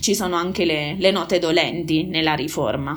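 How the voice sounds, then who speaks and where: A woman's voice at a moderate pace. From Molise, Italy. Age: 30s. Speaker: aid worker. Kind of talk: casual interview.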